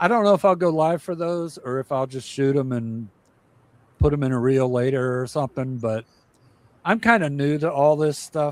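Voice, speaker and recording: A man talks at a moderate pace in a plain, everyday voice. His pitch is fairly high for a man and varies in an ordinary way. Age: 60s. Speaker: cruise livestream host. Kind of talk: casual chat. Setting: livestream.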